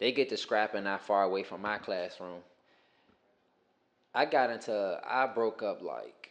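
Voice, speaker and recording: With an American accent, a man talks at a fairly slow pace against a quiet background, leaving long, frequent pauses. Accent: sounds country (self-remark). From Richmond, Virginia, US South. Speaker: former teacher. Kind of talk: casual podcast chat, storytelling.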